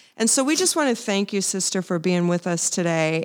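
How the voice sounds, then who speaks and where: Against a silent background on a very clean recording, a woman speaks at a moderate pace. She has an ordinary speaking voice with a fairly low pitch. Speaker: podcast co-host. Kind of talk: casual interview.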